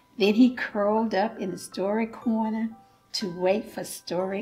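A woman speaks at a fairly slow pace with ordinary pitch variation while faint music plays in the background. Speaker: church volunteer storyteller. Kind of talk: children's picture-book read-aloud. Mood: warm, gentle, smiling.

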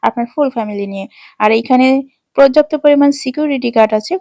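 The sound is dry and close with no echo. A woman's voice has a dark, mellow tone. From Bangladesh, Pabna district. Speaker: travel vlogger. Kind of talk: vlog narration. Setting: shopping mall.

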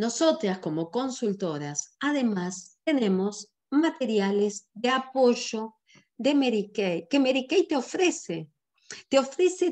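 Speaking in a Rioplatense accent, a woman has a high pitch that swings very widely. Her pace is very slow. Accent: Argentine Rioplatense Spanish. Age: 60s. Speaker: sales director and business trainer. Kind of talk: online business training presentation. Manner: animated.

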